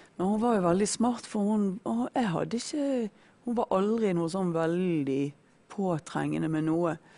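In a dark, mellow tone and fairly low pitch, a woman speaks at a fairly slow pace with ordinary pitch variation. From Norway, Bergen. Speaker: former drug addict sharing faith story. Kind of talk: testimony. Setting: studio.

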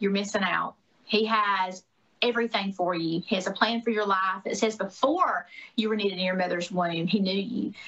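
The voice carries a Southern US accent. It moves at a moderate pace with fairly even intonation. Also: woman. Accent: Southern US (Georgia). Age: 40s. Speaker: former gubernatorial candidate and podcaster. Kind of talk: interview. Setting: video call.

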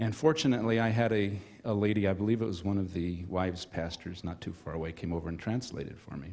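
A man's very deep, low-pitched voice with a dark, mellow tone, a very fast pace and ordinary pitch variation. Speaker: church member. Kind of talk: testimony.

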